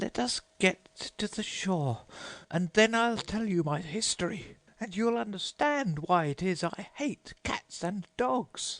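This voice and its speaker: Putting on a shaky character voice, a man speaks at a high pitch and a fairly slow pace. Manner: passionate, emotional.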